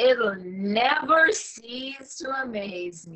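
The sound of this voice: Whispering in a breathy put-on character voice, a woman speaks at a very slow pace.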